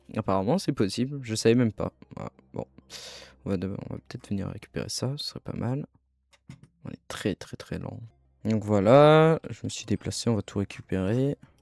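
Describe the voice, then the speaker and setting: A man's medium-pitched voice with ordinary pitch variation, big swings in loudness, and long, frequent pauses, in a dry, close sound with no echo and music in the background. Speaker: video game let's player. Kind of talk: gameplay commentary. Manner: fast; casual, animated.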